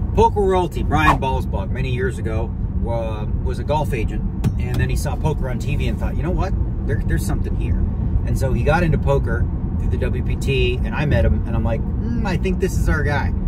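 Speech comes at a fairly quick pace with a dry sound, no echo, and loud background noise. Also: man. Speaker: vlogger. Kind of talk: casual vlog chat. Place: car. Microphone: phone near.

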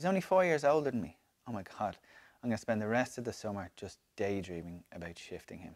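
A very fast man, fairly low in pitch, with very wide pitch swings and big swings in loudness, over a quiet background. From Ireland. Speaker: reader of a comic diary. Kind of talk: dramatic diary reading. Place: home room.

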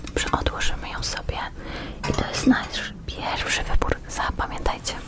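Noticeable background noise fills the recording. A woman whispers through it. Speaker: ASMR creator guest-hosting another channel. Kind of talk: ASMR roleplay showing items, whispered Polish. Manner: soft, whispered, slow.

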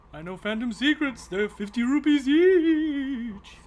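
High-pitched, fairly slow, a put-on character voice. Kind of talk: comic Yoda impression. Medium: game stream. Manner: backwards word order, cryptic.

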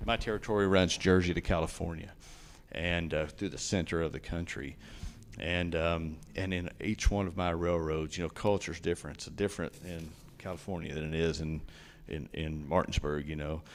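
Fairly even intonation and a moderate pace from a man with a very deep, low voice. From East Tennessee, US South. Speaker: railroad company executive. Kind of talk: public meeting Q&A. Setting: county commission meeting.

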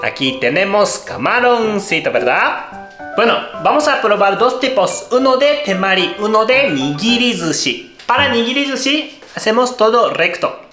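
Over clear music in the background, a man with a Japanese accent uses a raised, projected voice at an extremely high pitch with lively intonation. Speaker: cooking show host. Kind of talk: cooking tutorial talk to camera. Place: kitchen.

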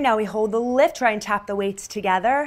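A fairly high-pitched woman's voice with an energetic tone. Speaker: fitness instructor. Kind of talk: guided pilates workout class. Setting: home studio video workout. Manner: rhythmic, coaching cues; energetic, encouraging. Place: home room.

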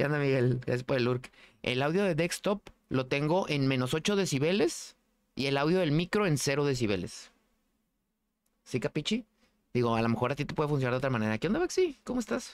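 A man with a Mexican accent speaks at a fairly quick pace and fairly high pitch, using lively intonation and very even loudness with long, frequent pauses. The recording is very clean, with a silent background. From Mexico. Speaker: gaming streamer. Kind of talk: casual chat. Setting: live stream. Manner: casual, slangy.

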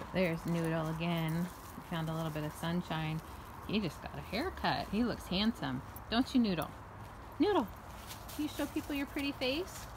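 Amid noticeable background noise, a woman with a fairly low pitch talks at a moderate pace, leaving long, frequent pauses. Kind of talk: casual vlog chat. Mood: cheerful, affectionate. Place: garden. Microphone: phone near.

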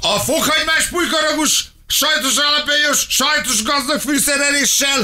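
A man uses a raised, projected voice at an extremely high pitch. He keeps a fairly slow pace and fairly even intonation with hardly any pauses. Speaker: radio co-host. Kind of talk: casual chat. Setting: studio. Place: studio. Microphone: studio mic.

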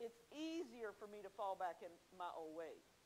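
A woman's voice in a Southern US accent, with very wide pitch swings. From South Carolina, Williamsburg County. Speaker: Bible study teacher. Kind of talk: Bible teaching. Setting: church.

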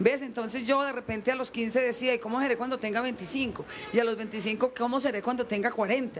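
This woman has a high pitch and fairly even intonation, speaking at a moderate pace. Light background noise sits behind her. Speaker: guest actress. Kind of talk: interview answer. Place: street. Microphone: handheld.

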